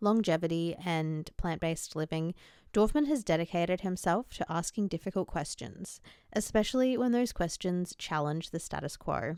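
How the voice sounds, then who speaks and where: On a very clean recording with a silent background, a woman speaks in an unremarkable speaking voice at a fairly low pitch and moderate pace, with ordinary pitch variation. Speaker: podcast host. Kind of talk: podcast intro read.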